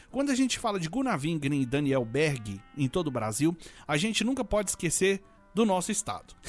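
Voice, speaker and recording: Music plays in the background. A high-pitched man talks fairly quickly, his pitch swinging very widely. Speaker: radio presenter. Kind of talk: live radio show presenting.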